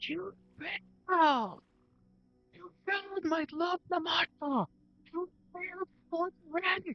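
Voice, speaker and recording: Faint music plays behind a put-on character voice that is shrill and extremely high, moving at a fairly slow pace with long, frequent pauses. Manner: hateful, accusing.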